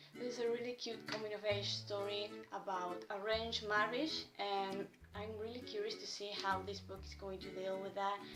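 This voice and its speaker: A woman at a moderate pace with hardly any pauses, noticeable background noise behind her. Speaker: book reviewer. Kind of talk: casual talk to camera. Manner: nervous, stammering.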